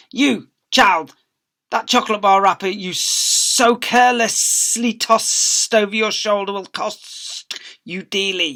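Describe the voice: A woman uses a put-on character voice at medium pitch with ordinary variation, speaking at a fairly slow pace over some hissing.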